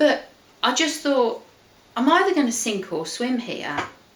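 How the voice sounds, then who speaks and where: A woman with an English accent speaks at a moderate pace with lively intonation, with noticeable background noise and audible room echo. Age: 50s. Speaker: weight-loss group consultant. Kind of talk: casual chat.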